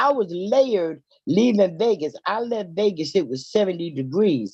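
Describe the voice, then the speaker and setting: A woman's medium-pitched voice with a dark, mellow tone and an American accent. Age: 70s. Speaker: retiree caller on a live show. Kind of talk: casual chat.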